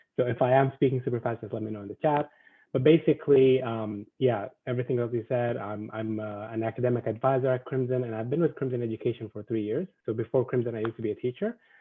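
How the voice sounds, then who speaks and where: Fairly even intonation runs through speech delivered at a very fast pace. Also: man, medium pitch for a man. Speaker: academic advisor, former teacher. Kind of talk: presentation to students. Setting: video call.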